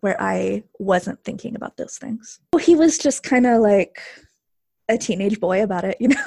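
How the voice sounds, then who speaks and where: A woman with an American accent speaks at a moderate pace, her fairly high voice showing vocal fry. The sound is dry and close, with no echo. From rural Texas. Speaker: former university student. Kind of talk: interview.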